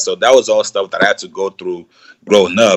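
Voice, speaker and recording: A man talks with a slight Nigerian accent, the sound dry and close with no echo. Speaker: YouTuber, content creator. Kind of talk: casual interview. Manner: relaxed, conversational with fillers.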